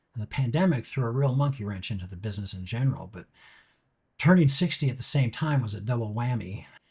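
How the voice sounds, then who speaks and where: A man's very fast, somewhat breathy speech, medium in pitch and dark and mellow in tone, with lively intonation, in a very clean recording with a silent background. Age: 60s. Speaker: TV director and YouTube host. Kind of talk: scripted monologue.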